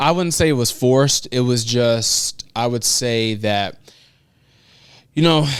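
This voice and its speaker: Someone with an American accent speaks at a moderate pace with ordinary pitch variation. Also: man. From Chicago. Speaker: motivational speaker. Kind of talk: interview answer.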